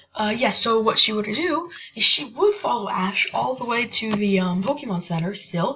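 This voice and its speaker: A woman with a fairly high pitch and lively intonation speaks at a moderate pace against noticeable background noise. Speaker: gaming YouTuber. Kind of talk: casual gameplay commentary. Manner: halting, many fillers.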